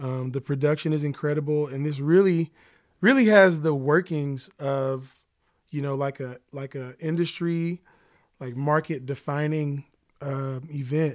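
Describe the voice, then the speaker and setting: A man with an American accent and a plain, everyday voice talks at a fairly slow pace and a fairly high pitch, with fairly even intonation and big swings in loudness. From Oklahoma City. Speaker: musician and songwriter. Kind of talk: casual chat.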